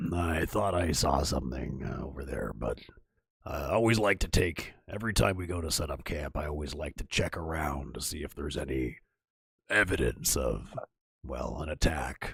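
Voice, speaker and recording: The speaker uses a raspy, put-on character voice. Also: man, very deep, low pitch for a man, moderate pace. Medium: actual play. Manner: plain, explanatory.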